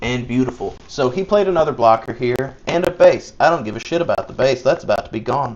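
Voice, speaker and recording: Speaking with a Southern US accent, a man with fairly high pitch talks at a fairly quick pace with lively intonation and hardly any pauses. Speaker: card game streamer. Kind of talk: live gameplay commentary. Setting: live stream. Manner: casual, chatty.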